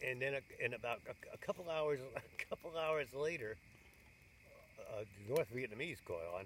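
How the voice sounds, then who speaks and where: An American-accented man with lively intonation at a moderate pace, amid noticeable background noise. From New York State. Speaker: war veteran. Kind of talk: interview answer. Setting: outdoors. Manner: casual, rambling.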